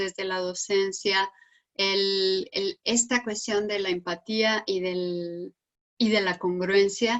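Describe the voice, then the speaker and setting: At a medium pitch, a woman talks very slowly with fairly level intonation. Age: 60s. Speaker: psychologist and researcher. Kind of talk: panel discussion. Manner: halting.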